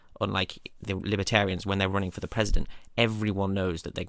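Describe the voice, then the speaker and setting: A man with a British accent talks at a very fast pace in a fairly low pitch. The recording is very clean, with a silent background. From United Kingdom. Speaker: political explainer video creator. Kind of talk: informal lecture.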